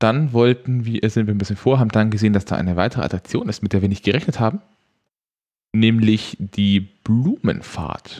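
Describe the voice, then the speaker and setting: This man has a dark, mellow tone. His pitch is fairly low. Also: ordinary pitch variation, moderate pace. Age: 20s. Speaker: theme park podcast host. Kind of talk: casual chat. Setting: studio.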